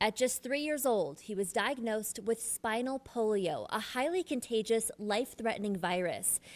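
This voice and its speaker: In a normal speaking voice, a woman with fairly high pitch talks at a moderate pace with lively intonation and hardly any pauses, on a very clean recording with a silent background. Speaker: TV news reporter. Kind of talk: TV news report.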